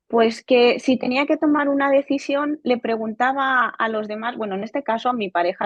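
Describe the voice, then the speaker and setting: A woman talks at a fairly quick pace. Her voice is high-pitched. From Spain, Barcelona. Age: 20s. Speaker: software quality engineer, coaching client. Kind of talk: testimony interview. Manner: halting, with repetitions.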